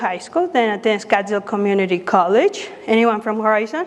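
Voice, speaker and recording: Amid noticeable background noise, a woman with a Spanish accent talks fairly quickly in a fairly high voice with ordinary pitch variation. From Mexico City, Mexico. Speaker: pro-life speaker, former clinic worker. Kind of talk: public talk.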